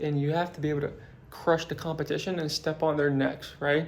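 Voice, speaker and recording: A man talks at a fairly quick pace in a fairly high pitch. His tone is animated. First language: not English. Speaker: business motivation vlogger. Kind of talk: motivational talk to camera. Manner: casual, animated.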